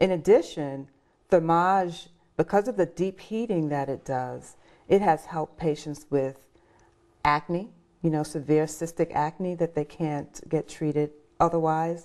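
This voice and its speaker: A plain, everyday voice from a woman, fairly low in pitch and fairly slow, with ordinary pitch variation against a quiet background. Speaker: doctor. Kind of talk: interview answer.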